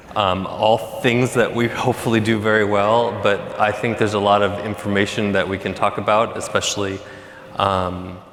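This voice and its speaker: Noticeable background noise sits behind a man speaking at a moderate pace. His pitch is fairly low and his intonation monotone and flat. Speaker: panel moderator. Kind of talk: panel moderation. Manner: loud.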